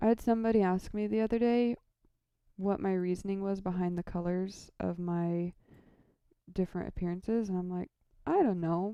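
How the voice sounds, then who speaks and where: Soft-spoken and relaxed, a woman talks at a moderate pace in a dark, mellow tone at medium pitch with fairly even intonation. Long, frequent pauses break up her speech against a quiet background. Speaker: lighting programmer streamer. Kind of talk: casual live stream tutorial. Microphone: audio too quiet.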